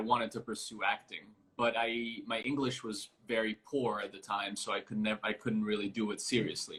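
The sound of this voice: A man talks at a fairly quick pace with a fairly low pitch, a bright, sharp tone and a slightly husky edge.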